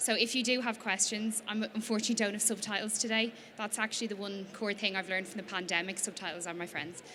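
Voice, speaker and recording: Speaking at a very fast pace, a woman with an Irish accent has a bright, sharp tone at medium pitch. Her intonation is fairly even. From Ireland, Dublin. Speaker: small business founder. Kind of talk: presentation to an audience.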